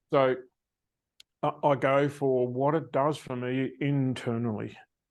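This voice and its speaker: A man with an Australian accent speaks at a fairly slow pace and a medium pitch. His intonation is flat and monotone over a quiet background. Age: 70s. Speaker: success coach. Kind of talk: interview.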